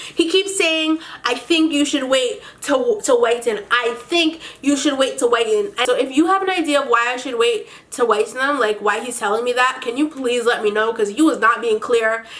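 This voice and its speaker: A high-pitched woman talks at a moderate pace with lively intonation amid noticeable background noise. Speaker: beauty vlogger. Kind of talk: casual vlog monologue. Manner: animated.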